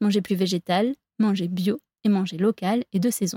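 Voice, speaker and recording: A woman speaks in a dark, mellow, somewhat breathy tone, with a dry, close sound and no echo. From France, La Rochelle (Atlantic coast). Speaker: podcast host. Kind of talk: scripted narration.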